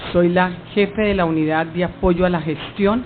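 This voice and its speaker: A woman with a fairly low pitch and fairly even intonation speaks over noticeable background noise. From Colombia, Cali. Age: 60s. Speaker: witness, government lawyer. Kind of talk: sworn testimony. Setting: hearing room.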